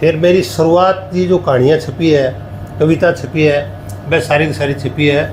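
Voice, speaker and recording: A man's fairly high voice with ordinary pitch variation amid noticeable background noise. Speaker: writer. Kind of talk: interview.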